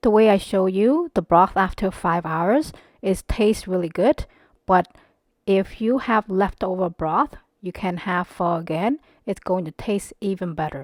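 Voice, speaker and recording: A woman with a Cambodian accent speaks at medium pitch and a fairly slow pace, with ordinary pitch variation and a calm tone. The recording is very clean with a silent background and a dry, close sound with no echo. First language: Khmer. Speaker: cooking channel host. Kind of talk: cooking tutorial. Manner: calm, instructional.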